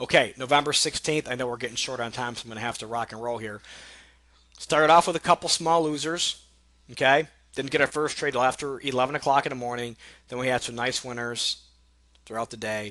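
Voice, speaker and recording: The bright, sharp voice moves at a fairly quick pace with fairly even intonation and big swings in loudness. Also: man. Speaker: day trading educator. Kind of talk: trading recap tutorial. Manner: fast; casual, conversational.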